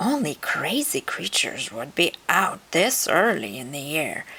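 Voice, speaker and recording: A woman's put-on character voice, fairly low in pitch. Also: moderate pace. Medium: read story. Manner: warm, fussing, determined.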